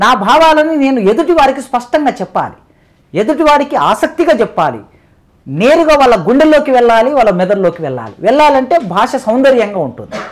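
A man with an extremely high pitch speaks with lively intonation. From Telangana, Mahabubnagar district; Telangana. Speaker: professor. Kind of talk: interview. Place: studio. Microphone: lapel.

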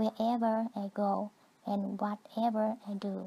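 In a Vietnamese accent, the speaker's somewhat breathy voice has a dark, mellow tone and flat, monotone intonation. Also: woman. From southern Vietnam. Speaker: immigrant storyteller. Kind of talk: scripted narration.

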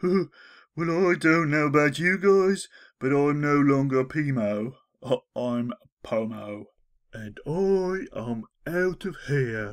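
A put-on character voice, whiny and low-to-middle in pitch, at a very slow pace. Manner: timid, apologetic, whiny.

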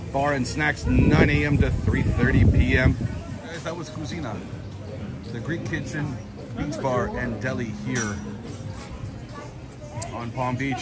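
Loud music plays behind a man who speaks with long, frequent pauses. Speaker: travel vlogger. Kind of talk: casual vlog chat. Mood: cheerful, impressed. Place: beach. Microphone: phone near.

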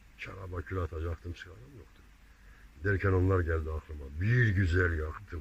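Speaking with a very deep, low pitch, a man sounds somewhat breathy, with ordinary pitch variation and big swings in loudness. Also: moderate pace. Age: 70s. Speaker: amateur poet. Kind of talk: poetry reading.

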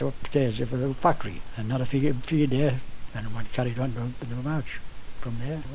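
Somewhat breathy, dark and mellow male voice at medium pitch, with ordinary pitch variation. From northeast England. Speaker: Jarrow march veteran. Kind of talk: elder life story, recalled in a relaxed reminiscing way, interview. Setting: radio interview.

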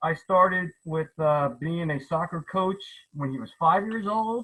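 The tone is bright and sharp, with ordinary pitch variation. Delivery comes at a moderate pace. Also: man. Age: 70s. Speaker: retired plant pathologist, town hall participant. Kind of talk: public comment at virtual town hall. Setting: video call. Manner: halting, many repetitions.

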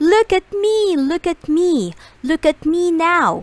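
A woman's put-on character voice, extremely high in pitch with big pitch swings, at a slow pace

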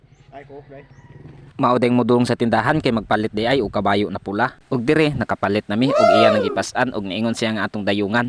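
Talking at a very fast pace, a man with a Philippine accent sounds dry and close with no echo. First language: Cebuano (speaking Tagalog). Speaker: vlogger. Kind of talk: vlog voice-over.

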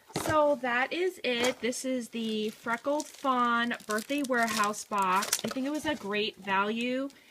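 A woman speaks at a fairly slow pace, her pitch fairly high with ordinary variation. Her tone is bright and sharp.

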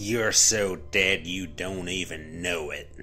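A man uses a put-on character voice in a Texan accent, low-pitched with a bright, sharp tone and ordinary pitch variation. He talks at a slow pace over faint music in the background. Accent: Texan drawl.

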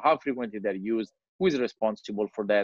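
With an Italian accent, a man talks at a fairly quick pace, the sound dry with no echo and the background quiet. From Italy. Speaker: digital strategy consultant. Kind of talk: presentation. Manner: halting. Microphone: video call.

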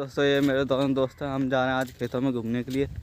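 In a dry sound with no echo and light background noise, a man speaks at a moderate pace in a medium pitch with monotone, flat intonation. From Uttar Pradesh, India. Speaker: village vlogger. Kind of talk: casual vlog talk to camera. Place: open country. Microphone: phone near.

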